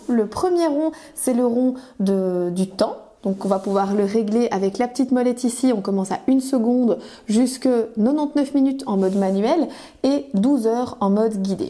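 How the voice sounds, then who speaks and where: Her loudness very even, a woman speaks in a high pitch with lively intonation. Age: 30s. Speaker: kitchen appliance sales consultant. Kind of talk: product demonstration tutorial. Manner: frequent hesitations (euh).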